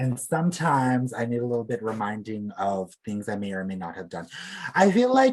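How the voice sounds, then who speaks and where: A man with a normal speaking voice at medium pitch talks at a fairly quick pace, with lively intonation and big swings in loudness. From Alberta, Canada (Plains Cree). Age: 20s. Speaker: beadwork artist. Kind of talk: casual chat.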